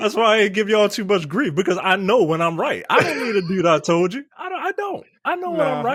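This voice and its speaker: Talking at a very fast pace with hardly any pauses, a man with a high pitch and a Baltimore accent uses lively intonation. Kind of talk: casual, argumentative.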